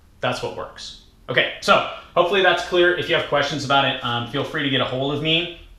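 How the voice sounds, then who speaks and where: A man talks at a fairly quick pace with ordinary pitch variation. His voice carries audible room echo over noticeable background noise. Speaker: fitness coach and team leader. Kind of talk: recorded team training talk. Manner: fast.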